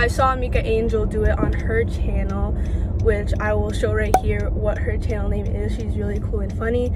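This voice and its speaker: Music plays in the background as a woman speaks at a moderate pace. The sound is dry with no echo. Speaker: vlogger. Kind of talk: casual vlog chat. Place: car. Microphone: phone near.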